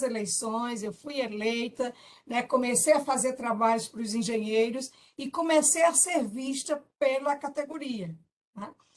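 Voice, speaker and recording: A woman speaks with big swings in loudness. Her pitch variation is ordinary. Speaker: engineer, former professional council president. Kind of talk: testimony. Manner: halting.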